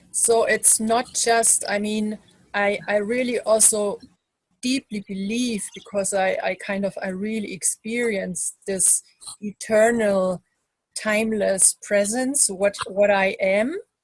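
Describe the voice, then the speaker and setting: A woman speaks very slowly in a fairly high, somewhat breathy voice with fairly even intonation, the sound dry and close with no echo. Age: 50s. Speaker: interviewer. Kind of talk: interview.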